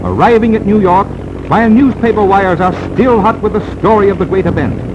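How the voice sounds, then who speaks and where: An excited, high-pitched man speaks over noticeable background noise. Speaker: newsreel narrator. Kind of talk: newsreel narration. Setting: 1930s archival film recording. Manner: fast, excited.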